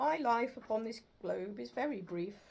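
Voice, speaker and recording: A woman uses a put-on character voice with a fairly high pitch. She keeps a moderate pace. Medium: read story. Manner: grave, solemn.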